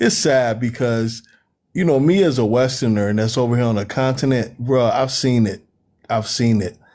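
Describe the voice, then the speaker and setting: A man with an American accent speaks in a dark, mellow tone with ordinary pitch variation, on a very clean recording with a silent background. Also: medium pitch for a man, moderate pace. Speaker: panelist. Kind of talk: casual panel discussion. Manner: animated.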